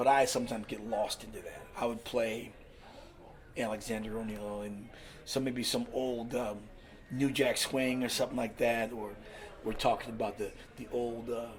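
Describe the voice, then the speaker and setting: Speaking at a moderate pace, a man with an American accent uses a medium pitch and a monotone, flat intonation. Long pauses come often. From US West Coast, California. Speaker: DJ and master of ceremonies. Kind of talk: casual chat. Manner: loud; halting.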